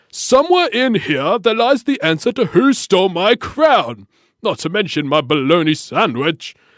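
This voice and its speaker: At a moderate pace, a put-on character voice swings very widely in pitch, recorded very cleanly against a silent background. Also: man, high pitch for a man. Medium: read story. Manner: regal, imperious.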